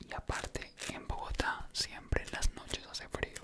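A man is whispering. His voice stays hushed throughout. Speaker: content creator. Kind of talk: casual vlog chat. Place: home room. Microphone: studio mic.

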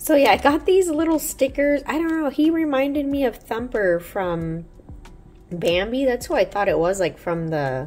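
A woman's voice has a slightly mellow tone and ordinary pitch variation. She talks at a fairly slow pace.

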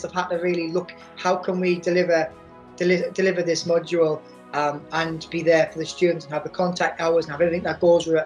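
Faint music plays behind a woman speaking at a fairly quick pace. Her fairly low voice stays monotone with flat intonation. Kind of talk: interview answer. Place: home room. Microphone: webcam.

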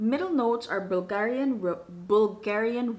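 A woman talks at a very slow pace with lively intonation. Her pitch is fairly high. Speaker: perfume reviewer. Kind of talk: casual talk to camera. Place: home room.

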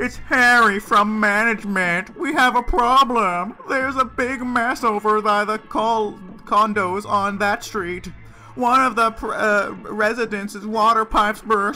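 A man talks at a fairly slow pace in a put-on character voice pitched high, with clear music in the background.

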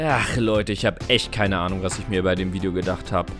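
With music playing behind him, a man keeps his speech at a moderate speed. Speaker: animator and voice performer. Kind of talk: comedy animation dialogue. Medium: cartoon.

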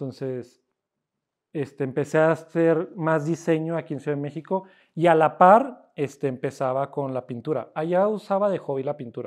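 The background is quiet as a man speaks. He keeps a moderate pace with ordinary pitch variation. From Cuauhtémoc, Chihuahua, northern Mexico; Chihuahua, Mexico. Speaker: self-taught painter; interviewee. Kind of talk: casual interview. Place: workshop.

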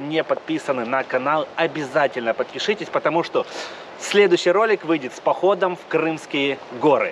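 A man keeps to a moderate pace while light background noise plays underneath. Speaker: travel vlogger. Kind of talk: casual vlog chat. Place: garden. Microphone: phone near.

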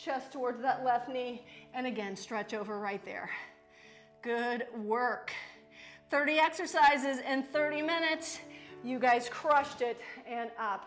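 Faint music plays behind a woman speaking in a high voice. She talks at a fairly slow pace with ordinary pitch variation. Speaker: fitness instructor. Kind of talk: workout instruction. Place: gym.

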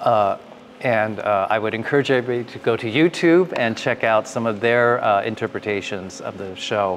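A man with an American accent talks at a moderate pace with ordinary pitch variation over light background noise. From Los Angeles. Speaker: Broadway actor and composer; Broadway actor. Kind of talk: interview in front of live audience. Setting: theatre event with live audience. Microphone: lapel.

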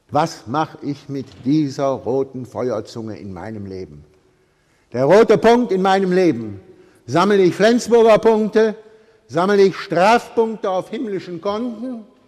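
A man speaks at a high pitch and a fairly slow pace, with an animated tone against a quiet background. His pitch swings very widely and his loudness shifts a lot. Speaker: priest preaching. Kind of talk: sermon with a traffic-light metaphor, delivered to a church congregation. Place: church. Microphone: podium.

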